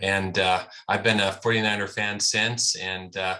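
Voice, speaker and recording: Fairly low-pitched man with a bright, sharp tone, monotone, flat intonation, and a fairly slow pace against a quiet background. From North Dakota. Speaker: podcast co-host. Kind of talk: casual chat. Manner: hesitant, many fillers.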